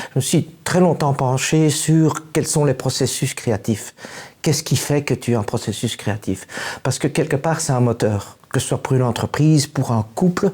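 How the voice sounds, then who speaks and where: Against noticeable background noise, a man with a fairly high pitch talks at a fairly slow pace with ordinary pitch variation. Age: 60s. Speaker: musician. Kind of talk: interview. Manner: halting.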